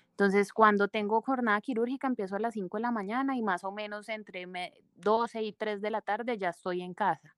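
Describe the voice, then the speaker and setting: Fairly high in pitch, a woman with a Cali Colombian accent talks at a fairly quick pace with fairly even intonation, in a very clean, dry, close recording with no echo and a silent background. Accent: Colombian Spanish, Cali region. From Valle del Cauca, Colombia. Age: 30s. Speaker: plastic surgeon. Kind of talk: interview, personal testimony.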